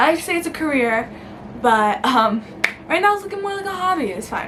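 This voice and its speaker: A New York accent with very wide pitch swings at a moderate pace, amid noticeable background noise and audible room echo. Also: woman. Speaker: YouTuber. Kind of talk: casual vlog. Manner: casual, filler-heavy.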